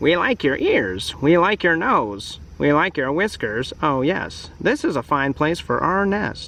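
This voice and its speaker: Delivered at a fairly slow pace with hardly any pauses, this put-on character voice comes over clear background noise. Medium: read story.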